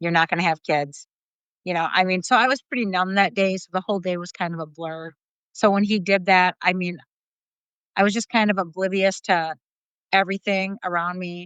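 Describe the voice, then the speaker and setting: Against a quiet background, a woman speaks at a fairly quick pace and medium pitch with fairly even intonation and long, frequent pauses, in a dry, close sound with no echo. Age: 50s. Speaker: guest sharing divorce story. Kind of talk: testimony. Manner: casual, hesitant with fillers.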